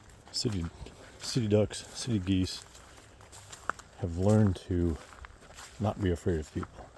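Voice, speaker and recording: A man speaks at a fairly slow pace with a fairly low pitch and ordinary pitch variation. Background noise is noticeable. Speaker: vlogger on own land. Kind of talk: casual walk-and-talk vlog. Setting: outdoors on a hike. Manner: whispering at times.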